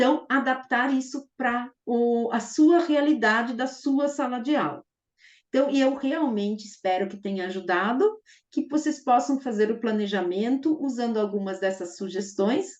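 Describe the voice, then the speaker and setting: Lively intonation from a woman, high in pitch and at a fairly slow pace. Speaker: math teacher trainer. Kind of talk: online teacher-training lecture. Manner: enthusiastic.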